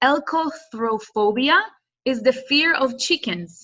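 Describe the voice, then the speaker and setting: A woman with an Israeli accent speaks in a raised, projected voice with a high pitch. Her tone is bright and sharp, and her intonation is lively. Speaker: business student and workshop presenter. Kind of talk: workshop presentation.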